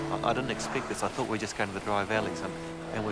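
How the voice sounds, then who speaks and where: A man with a New Zealand accent speaks quietly at a medium pitch, with audible room echo and noticeable background noise. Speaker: documentary presenter. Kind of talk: on-location commentary. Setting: outdoors on sea ice. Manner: speaking quietly; halting.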